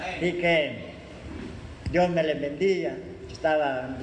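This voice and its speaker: Fairly high-pitched male voice at a fairly slow pace with fairly even intonation, amid noticeable background noise and audible room echo. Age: old. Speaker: church member. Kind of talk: church greeting.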